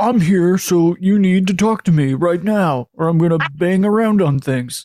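A man uses a put-on character voice with a high pitch at a moderate pace. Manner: demanding, confrontational.

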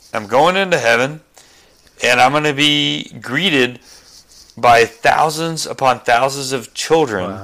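The man has a medium pitch and ordinary pitch variation. His pace is fairly slow. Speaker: guest, husband of a pro-life activist. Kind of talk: casual chat. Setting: remote call.

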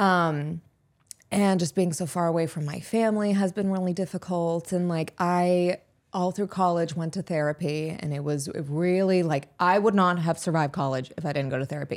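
A woman uses a normal speaking voice with an American accent, fairly low pitch and fairly even intonation. She talks at a moderate pace on a very clean recording with a silent background. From Pittsburgh, US. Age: 20s. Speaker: social media influencer and actress. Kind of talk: casual podcast interview.

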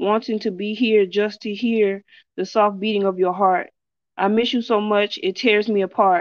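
At a fairly slow pace, a woman with a plain, everyday voice speaks at medium pitch with fairly even intonation. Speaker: poet. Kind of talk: poetry reading.

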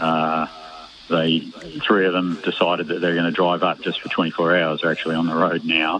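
Over noticeable background noise, a man speaks at a moderate pace in a very deep, low pitch with monotone, flat intonation. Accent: Australian. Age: 70s.

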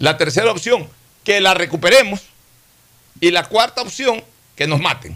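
A man's high, raised and projected voice with lively intonation, moderate pace and long, frequent pauses. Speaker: radio host. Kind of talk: radio talk show, political discussion.

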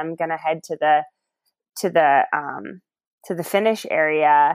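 A normal speaking voice with an American accent moves at a moderate pace with ordinary pitch variation, in a very clean recording with a silent background. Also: woman. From Ohio. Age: 30s. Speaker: runner. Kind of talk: casual interview.

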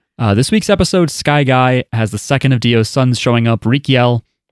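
On a very clean recording with a silent background and a dry, close sound with no echo, a man with an American accent speaks fairly quickly at a medium pitch with ordinary pitch variation. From New Jersey. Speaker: podcast host. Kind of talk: casual chat.

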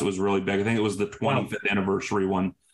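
Noticeable background noise fills the recording. A man is speaking. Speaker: podcast co-host. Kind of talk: casual chat.

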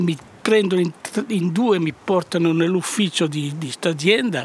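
High pitch for a man, with ordinary variation and a moderate pace. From Piedmont, Italy (Varallo, Valsesia). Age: 80s+. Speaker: former partisan courier, winemaker. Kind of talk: testimony. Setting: outdoors in a vineyard. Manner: halting.

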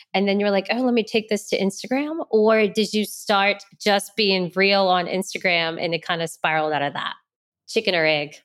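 The pitch shows ordinary variation, and the pace is moderate. It is a plain, everyday voice. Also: woman, medium pitch for a woman. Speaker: podcast host. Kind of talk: casual interview chat.

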